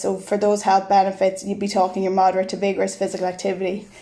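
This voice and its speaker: In an Irish accent, a woman with a medium-pitched voice speaks in a monotone, flat intonation. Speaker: physical education lecturer. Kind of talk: podcast interview.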